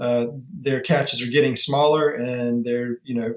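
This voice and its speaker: In a Southern US accent, a man speaks at a moderate pace with a medium pitch and fairly even intonation. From US South, upstate South Carolina. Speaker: watch company founder. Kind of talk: podcast interview.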